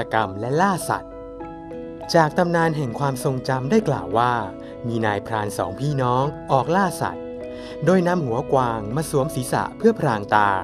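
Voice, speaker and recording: Over music in the background, a man of medium pitch speaks with very wide pitch swings. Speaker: voice actor. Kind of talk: folk tale narration introducing a town.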